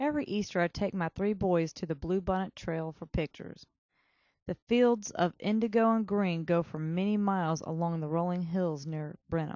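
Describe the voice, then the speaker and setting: A woman speaks with a strong Texan accent. Her pitch is fairly low. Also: ordinary pitch variation, moderate pace. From Texas. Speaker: student essayist. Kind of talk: reading aloud a personal essay.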